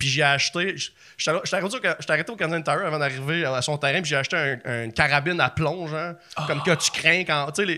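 Talking at a fairly quick pace in a Quebec accent, a man has a bright, sharp tone and fairly high pitch with ordinary pitch variation. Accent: Québécois French. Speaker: comedian and documentary maker. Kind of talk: casual chat.

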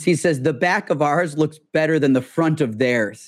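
A man with an American accent, fairly high in pitch, with ordinary pitch variation. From US Midwest. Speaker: tech entrepreneur. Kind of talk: casual interview conversation. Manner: fast talker.

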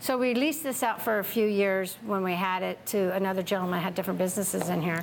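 A woman speaks with an American accent and ordinary pitch variation. Noticeable background noise is present. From California, Tracy. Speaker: winery owner. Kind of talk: oral history interview. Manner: animated.

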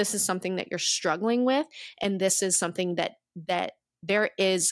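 A woman uses an unremarkable speaking voice at a medium pitch with ordinary pitch variation, captured in a dry, close sound with no echo on a very clean recording with a silent background. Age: 30s. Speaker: photography business owner and wellness retreat founder. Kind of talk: casual interview chat.

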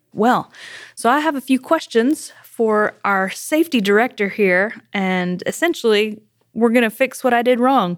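A woman's fairly high voice with a Southern US accent, lively intonation, and a fairly slow pace. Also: very clean recording, silent background. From South Carolina. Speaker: company podcast host. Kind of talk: casual chat. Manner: animated.

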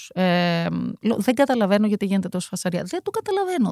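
A woman's voice, dry and close with no echo, on a very clean recording over a silent background. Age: 50s. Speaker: deputy mayor and former university lecturer. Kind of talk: casual chat.

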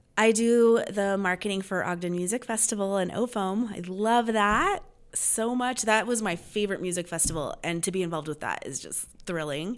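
A woman with an American accent speaks in a plain, everyday voice at a medium pitch with ordinary pitch variation. Her pace is moderate with hardly any pauses, on a very clean recording with a silent background. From Los Angeles area, California. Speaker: local events publisher. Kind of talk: casual interview. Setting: meeting room.

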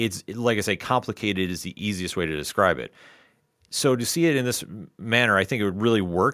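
A man with a fairly low pitch and a normal speaking voice, at a fairly quick pace with ordinary pitch variation. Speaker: comic book club host. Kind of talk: casual chat. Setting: live YouTube stream.

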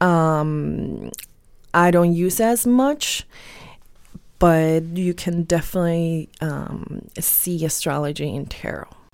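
The speaker goes at a very slow pace. Pitch varies in an ordinary way. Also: woman, fairly low pitch for a woman. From Tijuana, Mexico. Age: 30s. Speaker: tarot card reader. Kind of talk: interview. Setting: studio. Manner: halting, many fillers.

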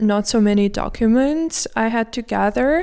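A dark, mellow tone comes through at a fairly slow pace. Pitch varies in an ordinary way. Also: woman. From Moscow, Russia. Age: 20s. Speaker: student. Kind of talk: casual interview chat. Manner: halting, with fillers.

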